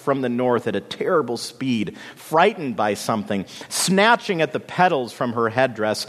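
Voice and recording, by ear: A natural voice reading aloud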